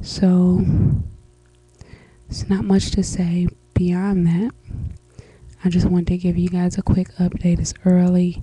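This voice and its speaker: A woman speaks quietly in a flat monotone at a fairly slow pace, with long, frequent pauses. The sound is dry with no echo, and faint music plays in the background. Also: fairly low pitch for a woman. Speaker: vlogger. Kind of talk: casual vlog update. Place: home room. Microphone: webcam.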